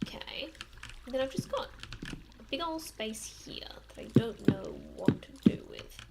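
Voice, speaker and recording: A woman whispers with long, frequent pauses and big swings in loudness, while noticeable background noise runs underneath. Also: moderate pace. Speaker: streamer. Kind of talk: casual live-stream commentary while gaming.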